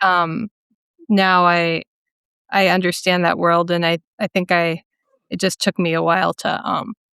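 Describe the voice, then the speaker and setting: In a Minnesotan accent, a woman with a fairly low pitch speaks in a monotone, flat intonation and a bright, sharp tone, with long, frequent pauses, in a dry, close sound with no echo on a very clean recording with a silent background. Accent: Minnesota. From US Midwest, central Minnesota. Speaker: painter. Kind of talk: interview conversation. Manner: halting, many fillers.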